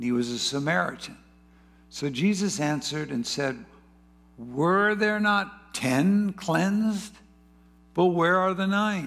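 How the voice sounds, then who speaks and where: A man speaks at a very slow pace with long, frequent pauses. His pitch is high and his intonation lively. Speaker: church pastor leading service. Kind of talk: church testimony and prayer service. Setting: church gathering with congregation.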